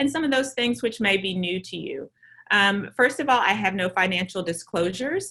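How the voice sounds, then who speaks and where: A woman with a Southern US accent speaks fairly quickly at a medium pitch, her bright, sharp tone carrying lively intonation in a very clean recording with a silent background. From US South. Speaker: maternal fetal medicine physician. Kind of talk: lecture.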